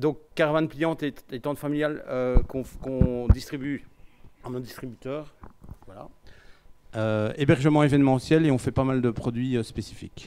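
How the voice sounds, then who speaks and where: A man with a Belgian accent talks at a moderate pace and medium pitch, his intonation fairly even, with long, frequent pauses, big swings in loudness and noticeable background noise. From Belgium. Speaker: company CEO. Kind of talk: conference talk. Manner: hesitant, many fillers.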